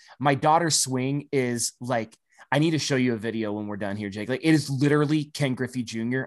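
A man's ordinary speaking voice with an American accent, medium in pitch, at a fairly quick pace with fairly even intonation. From US Midwest. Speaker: podcast host. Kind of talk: casual podcast banter.

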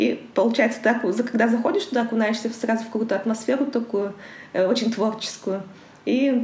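A woman at a fairly high pitch and moderate pace. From Kazakhstan, Karaganda. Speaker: international trade professional. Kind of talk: interview.

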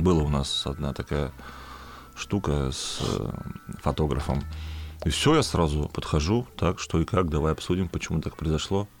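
A man's very deep, low voice with long, frequent pauses. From Perm region / Bashkortostan, Russia. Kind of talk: casual chat.

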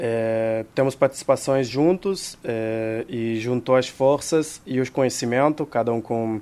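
A man speaks very slowly at medium pitch in a dark, mellow tone. His pitch varies in an ordinary way. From Israel. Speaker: hostel and restaurant owner. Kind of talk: casual interview. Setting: studio.

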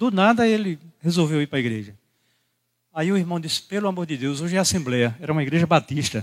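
On a very clean recording with a silent background, a man with a normal speaking voice talks at a fairly quick pace with lively intonation. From Brazil, Rio Grande do Norte (Caicó). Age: 60s. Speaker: pastor. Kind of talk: sermon. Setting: church.

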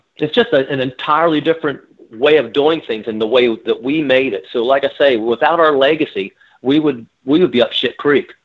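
A man with an American accent and a plain, everyday voice, fairly high pitched with ordinary pitch variation, at a fairly quick pace. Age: 60s. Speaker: rock singer. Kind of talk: interview.

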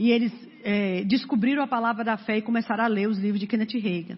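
Intonation remains fairly even. There is a somewhat breathy quality to the voice. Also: woman. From Brazil, Fortaleza (Ceará). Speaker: preacher. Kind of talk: sermon. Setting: church.

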